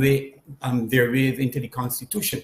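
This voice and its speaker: Speaking with a Barbadian accent, a man has a fairly high pitch and a somewhat breathy voice. His pace is fairly slow. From Barbados. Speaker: panel guest. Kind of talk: public consultation discussion. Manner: halting, many fillers.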